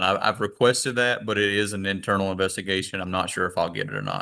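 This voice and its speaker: Very fast and fairly low, a man's voice comes through with a bright, sharp tone and fairly even intonation. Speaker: state patrol crash investigator. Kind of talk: courtroom testimony.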